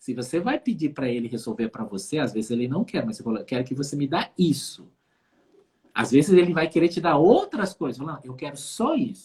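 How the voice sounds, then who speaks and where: A man's somewhat breathy voice at a fairly high pitch, fairly quick in pace, with very wide pitch swings. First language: Dutch (speaking Portuguese). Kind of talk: casual conversation on a live stream.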